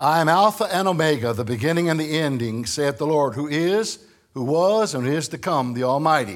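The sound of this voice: This man talks at a fairly quick pace with lively intonation. He speaks with a Northern American accent. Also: fairly high pitch for a man.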